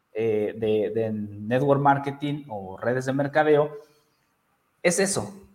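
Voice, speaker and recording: A man with a central Mexican accent speaks at a fairly slow pace. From Mexico, Toluca, Estado de México. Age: 30s. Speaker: network marketing entrepreneur. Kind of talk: interview.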